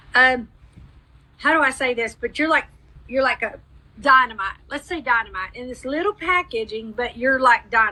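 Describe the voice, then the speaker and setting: Raising and projecting her voice, a woman speaks at a fairly quick pace with a high pitch, lively intonation and a bright, sharp tone. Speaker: psychic medium. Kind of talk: live mediumship reading. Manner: fast.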